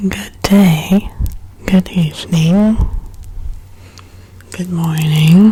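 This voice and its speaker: Soft-spoken and calm, a woman talks at a very slow pace in a fairly low pitch with fairly even intonation and long, frequent pauses, while noticeable background noise runs behind her. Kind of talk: ASMR soft-spoken ramble while coloring. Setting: close-mic studio recording with binaural microphone. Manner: soft-spoken, calm, rambling.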